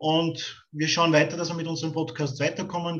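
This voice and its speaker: A man with an ordinary speaking voice talks at a moderate pace, his pitch fairly high for a man. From Austria (Styria). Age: 40s. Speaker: podcast host. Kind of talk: interview.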